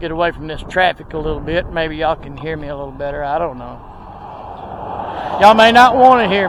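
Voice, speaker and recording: Over noticeable background noise, a man with a Texas accent and a fairly high pitch talks at a very fast pace with lively intonation, big swings in loudness and long, frequent pauses. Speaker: video blogger. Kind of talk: casual walking tour narration. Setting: outdoors at a cemetery.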